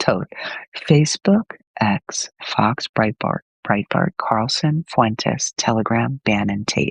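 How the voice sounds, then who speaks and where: Recorded dry and close with no echo, a man speaks quietly at a very slow pace. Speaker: livestream host reading viewer comments. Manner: speaking quietly, hushed.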